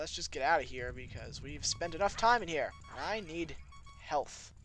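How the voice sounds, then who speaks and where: A man is speaking. Music plays in the background. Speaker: video game let's player. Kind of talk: casual talk to camera, commentary.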